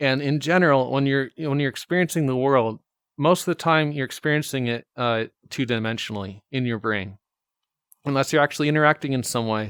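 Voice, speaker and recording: Speaking at a fairly quick pace, a man with a medium pitch and ordinary pitch variation is heard in a dry, close recording with no echo, very clean and with a silent background. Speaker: VR video host. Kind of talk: casual monologue. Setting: at home in VR headset. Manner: halting, many fillers and repetitions; loud.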